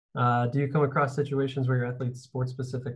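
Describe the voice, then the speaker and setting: A man's somewhat breathy, medium-pitched voice at a fairly quick pace with monotone, flat intonation. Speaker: physical therapist and podcast host. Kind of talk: podcast intro and panel discussion. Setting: video call.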